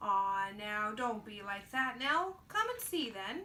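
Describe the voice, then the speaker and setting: Using a put-on character voice, a woman speaks in a gentle tone at a fairly high pitch and a fairly slow pace. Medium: read story. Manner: folksy, gentle.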